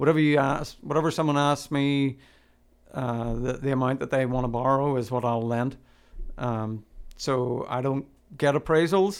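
Fairly even intonation marks a man's speech in a Northern Irish accent. His pace is moderate. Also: medium pitch for a man. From Northern Ireland. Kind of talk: casual chat.

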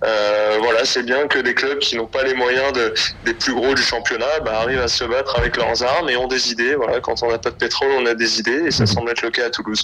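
A man talks at a fairly quick pace with hardly any pauses, his loudness very even and his intonation fairly even. Noticeable background noise runs underneath. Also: medium pitch for a man. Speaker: sports correspondent. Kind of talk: phone interview. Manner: hesitant, many fillers.

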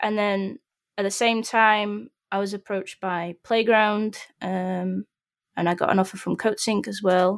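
A woman with a Yorkshire accent speaks fairly slowly in a monotone, flat way at medium pitch. The recording is very clean with a silent background and a dry, close sound with no echo. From northern England, Sheffield. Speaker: 3D environment artist. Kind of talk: casual chat.

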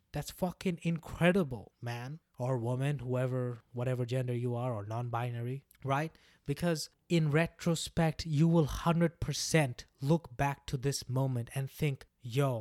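A man's fairly high voice at a fairly slow pace, fairly even in intonation with hardly any pauses, in a very clean recording with a silent background and a dry, close sound with no echo. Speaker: breakup coach. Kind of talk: pep talk. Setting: solo podcast. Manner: emphatic, repeating lines for encouragement; earnest, warm.

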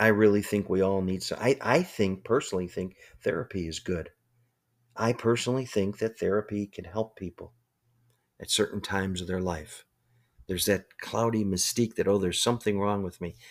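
On a very clean recording with a silent background, a man with an unremarkable speaking voice talks at a fairly quick pace and fairly low pitch with fairly even intonation. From US Midwest, Chicago. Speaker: motivational speaker and business coach. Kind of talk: motivational talk. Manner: conversational, with repetitions and fillers.

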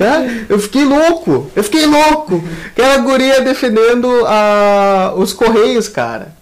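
Through noticeable background noise, the speaker sounds animated at a fairly slow pace. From southern Brazil (Rio Grande do Sul). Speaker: podcast co-host. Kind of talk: casual chat.

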